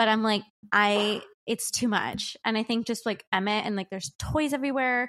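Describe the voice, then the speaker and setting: Recorded with a dry, close sound and no echo, a woman speaks in an ordinary speaking voice with ordinary pitch variation. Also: fairly high pitch for a woman, very clean recording, silent background. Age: 30s. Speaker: podcast co-host. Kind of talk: casual chat. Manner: fast.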